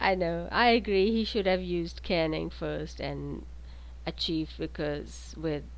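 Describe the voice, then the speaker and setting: A woman with a non-native accent at a fairly slow pace, with audible room echo. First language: not English. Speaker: game commentator. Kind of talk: live commentary.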